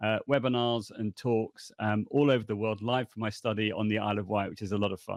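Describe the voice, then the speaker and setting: A man with a British accent speaks in a fairly low voice, with monotone, flat intonation. His pace is fairly quick, with hardly any pauses. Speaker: language education consultant. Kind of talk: podcast interview.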